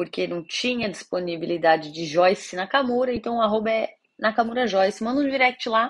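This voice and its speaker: Over a quiet background, a woman speaks at a moderate pace with a fairly high pitch and lively intonation. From Brazil, São Paulo city. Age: 30s. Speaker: podcast host. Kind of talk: casual monologue.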